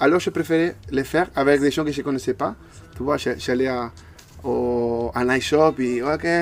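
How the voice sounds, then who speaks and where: Speaking with an Argentine accent, a man has a medium pitch. He goes at a fairly slow pace with ordinary pitch variation. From Argentina. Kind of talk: interview answer. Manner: hesitant, repeats words.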